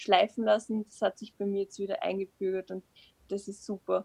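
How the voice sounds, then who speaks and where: In an ordinary speaking voice, a woman talks fairly quickly at a medium pitch with fairly even intonation and a dry, close sound with no echo. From Upper Austria. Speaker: creative writing student, short story writer. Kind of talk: casual interview.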